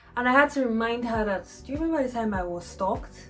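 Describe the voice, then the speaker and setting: Over music in the background, a woman with a fairly high pitch talks at a very fast pace with lively intonation. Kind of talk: casual storytelling to camera. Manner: conversational, expressive.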